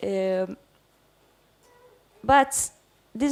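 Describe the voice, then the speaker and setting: A woman speaks in an Italian accent with a dark, mellow tone. Her pitch variation is ordinary. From Italy. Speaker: theatre director. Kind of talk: seminar talk. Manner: halting.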